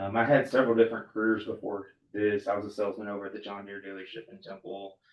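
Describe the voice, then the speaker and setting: A man with a strong Texas accent talks very fast at a fairly low pitch in a monotone, flat intonation, with big swings in loudness. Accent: strong rural Texas. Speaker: farmer and board applicant. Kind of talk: interview. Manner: hesitant, many fillers.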